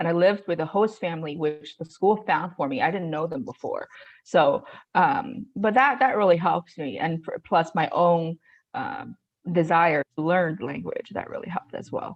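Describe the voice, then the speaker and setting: A woman speaks in a Chinese accent at a fairly low pitch. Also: lively intonation, moderate pace. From China. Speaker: real estate investor. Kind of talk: interview. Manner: halting, many fillers.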